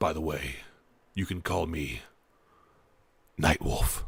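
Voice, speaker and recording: Putting on a character voice, a man sounds raspy and very deep, with a very low pitch. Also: fairly slow pace. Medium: actual play. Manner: formal, vague.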